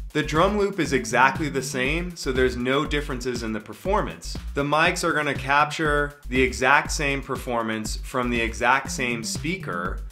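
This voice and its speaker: Faint music plays in the background while a man talks. He keeps a moderate pace with hardly any pauses. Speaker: music teacher or audio hobbyist. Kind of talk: tutorial.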